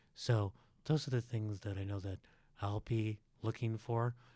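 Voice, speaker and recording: In a very clean recording with a silent background and a dry, close sound with no echo, a man speaks at a moderate pace with a fairly low pitch, a dark, mellow tone, somewhat breathy delivery and fairly even intonation. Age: 60s. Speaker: economist and sociology professor. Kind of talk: interview.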